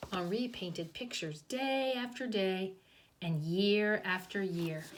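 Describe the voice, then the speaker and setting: A woman speaks at a fairly slow pace and a medium pitch, her pitch varying in an ordinary way, with audible echo in the room. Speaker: kindergarten teacher. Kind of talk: reading aloud; children's storytime explanation.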